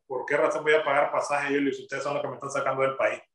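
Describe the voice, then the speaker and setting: A man talks at a very fast pace. There is audible room echo against a quiet background. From Nicaragua. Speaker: father of jailed student, denied entry. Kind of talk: recorded testimony interview. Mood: indignant, recounting an ordeal. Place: home room. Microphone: video call.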